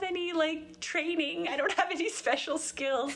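A woman with a Canadian accent over noticeable background noise. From Grand Prairie, Alberta, Canada. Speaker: podcast host, church women's ministry volunteer. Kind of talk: interview as guest, casual chat.

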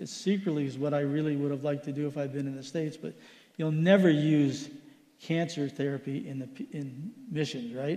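Audible room echo surrounds a man whose dark, mellow tone sits at a fairly high pitch as he talks at a fairly quick pace. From Philippines. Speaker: missionary doctor. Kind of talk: church missions report. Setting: church service.

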